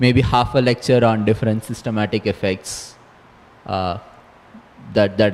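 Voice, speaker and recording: A man with an Indian accent and fairly even intonation. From southern India (Chennai). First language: Saurashtra. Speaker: astronomer, lecturer. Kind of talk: interview; lecture. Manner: slow; halting.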